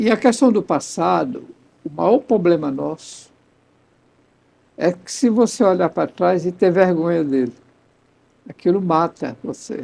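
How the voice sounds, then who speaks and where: This man has a high pitch and a dark, mellow tone, with lively intonation. He talks at a fairly slow pace with long, frequent pauses. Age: 70s. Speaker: pastor and radio director. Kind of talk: casual chat.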